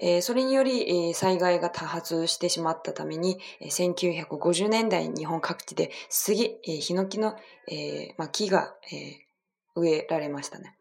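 A woman speaks with a Chinese accent. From China. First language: Chinese (speaking Japanese). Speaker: podcast host. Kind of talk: bilingual casual talk. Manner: halting, many fillers.

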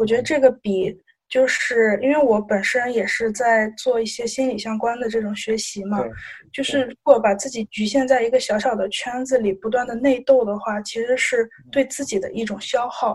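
Fairly even intonation and a moderate pace from an unremarkable speaking voice. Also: woman, fairly high pitch for a woman. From Shandong. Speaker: student volunteer. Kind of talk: casual interview.

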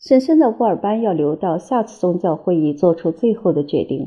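A woman at medium pitch with a normal speaking voice. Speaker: audiobook narrator. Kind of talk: reading aloud.

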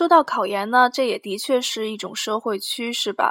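A woman's fairly high, fairly slow delivery with ordinary pitch variation, set in a very clean recording over a silent background. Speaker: podcast host, university student. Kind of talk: casual solo monologue. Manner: hesitant, many fillers.

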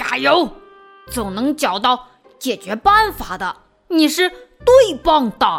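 Using a put-on character voice, a woman speaks at a high pitch and fairly slow pace with faint music in the background.

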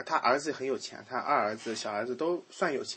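With an unremarkable speaking voice, a man talks at a fairly quick pace and a fairly high pitch, using lively intonation. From rural China. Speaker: podcast host. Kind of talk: casual chat.

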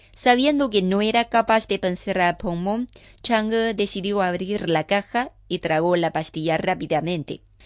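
Using a dramatic tone, a woman of medium pitch speaks at a fairly slow pace, the sound dry and close with no echo against a quiet background. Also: ordinary pitch variation. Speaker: radio host. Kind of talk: mythic legend narration, storytelling read aloud. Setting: studio. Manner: measured, dramatic storyteller pace.

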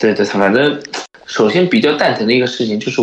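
Audible room echo around a man at medium pitch, with ordinary pitch variation and a fairly quick pace. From China. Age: 30s. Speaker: sneaker shop owner. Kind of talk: casual chat.

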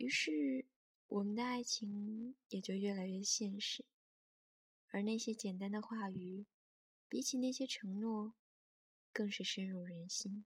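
A woman speaks very slowly at a medium pitch, with long, frequent pauses and ordinary pitch variation. Her voice is somewhat breathy, and the sound is dry and close with no echo. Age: 20s. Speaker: podcast host. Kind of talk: reflective scripted narration.

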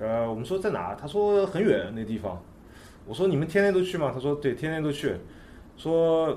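A man speaks at a moderate pace with a fairly high pitch and very wide pitch swings. Audible room echo surrounds the voice. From China, Nanjing. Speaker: skateboard photographer. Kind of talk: casual chat.

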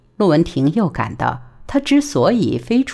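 The voice sounds natural. It is reading aloud.

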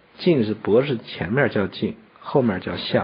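Pitch that swings very widely, heard over noticeable background noise. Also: man. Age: 40s. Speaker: traditional Chinese medicine teacher. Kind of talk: educational radio conversation.

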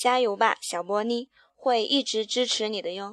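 In an ordinary speaking voice, a woman talks at a fairly slow pace, her fairly high pitch carried on fairly even intonation. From Handan, Hebei, China. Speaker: listener, fan. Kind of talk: recorded listener message, reading prepared text.

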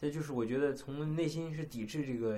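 A man with a fairly high pitch talks while noticeable background noise runs underneath. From China. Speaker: podcast co-host. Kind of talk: casual chat.

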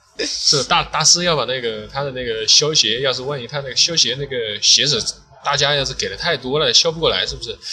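A man talks at a very fast pace with hardly any pauses and ordinary pitch variation, over noticeable background noise. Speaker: sneaker restorer. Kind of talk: casual chat. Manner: hesitant.

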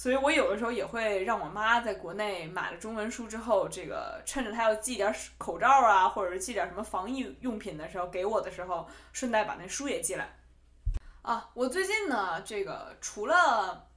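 With a strong Beijing accent and lively intonation, a woman talks at a moderate pace in a fairly high voice, with audible room echo around her. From Beijing, China. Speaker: podcast host. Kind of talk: casual solo podcast talk.

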